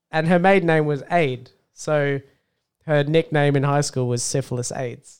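Speaking with an Australian accent, a man uses a fairly high pitch, a moderate pace and fairly even intonation. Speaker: podcast co-host. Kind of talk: casual chat.

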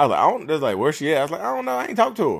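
A man's animated, fairly high voice with very wide pitch swings, in a very clean recording with a silent background. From North Carolina, Reidsville. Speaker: real estate agent. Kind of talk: casual monologue.

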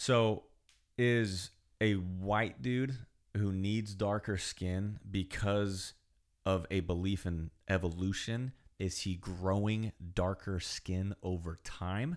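With a Californian accent and a fairly low pitch, a man talks at a very slow pace with fairly even intonation on a very clean recording with a silent background. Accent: Californian American English. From US West Coast, California Central Coast. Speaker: podcast guest, host's childhood friend. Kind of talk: casual chat.

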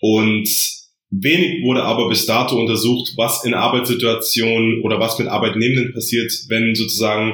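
A man with a medium pitch talks in a space where room echo is audible. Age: 20s. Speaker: psychology master's student. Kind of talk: podcast interview explaining his thesis.

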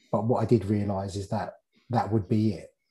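A man speaks in a fairly low pitch with an English accent, moving at a fairly quick pace. His tone is dark and mellow and somewhat breathy. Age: 30s. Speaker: fitness and nutrition coach. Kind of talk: casual interview chat.

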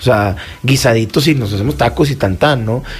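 The man speaks at a fairly quick pace with ordinary pitch variation. Noticeable noise sits in the background. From Mexico, Torreón (Coahuila). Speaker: chef. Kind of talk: radio interview. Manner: halting, many fillers.

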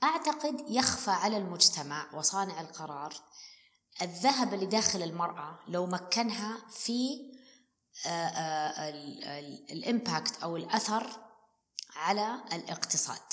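Very slowly and with long, frequent pauses, a woman speaks at a medium pitch with very wide pitch swings. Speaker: business executive and financial consultant. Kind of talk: interview conversation. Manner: animated.

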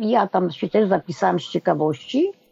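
Against music in the background, a woman's voice is heard with a dry, close sound and no echo. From Poland, small village. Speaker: retiree, mother of LGBT child. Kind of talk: interview.

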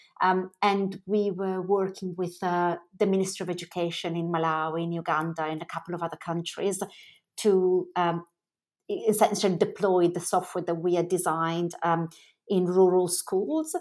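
In an Italian accent, a woman talks at a moderate pace in a fairly low, monotone voice, on a very clean recording with a silent background. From Milan, Italy. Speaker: fashion brand founder. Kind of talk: interview, conversational.

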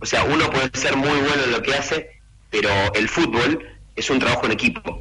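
There is noticeable background noise. A man talks at a moderate pace and medium pitch. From Argentina. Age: 40s. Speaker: youth football academy director. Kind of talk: radio interview.

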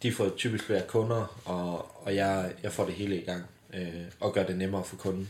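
With a very deep, low pitch, a man speaks at a moderate pace in a monotone, flat intonation. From southwest Jutland, Denmark (Bramming). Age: 20s. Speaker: company founder. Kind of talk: casual interview. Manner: hesitant, many fillers.

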